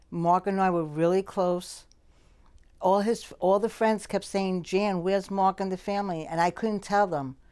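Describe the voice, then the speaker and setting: On a very clean recording with a silent background, a woman speaks at a moderate pace in a medium pitch with a dark, mellow tone. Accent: American. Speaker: childhood friend. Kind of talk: documentary interview.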